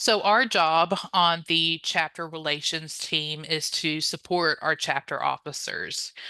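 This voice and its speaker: Speaking in a Louisiana accent, a woman has a fairly low pitch and a bright, sharp tone. She talks at a fairly slow pace. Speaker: honor society staff member, chapter relations. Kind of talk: training presentation. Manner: frequent filler 'um', conversational.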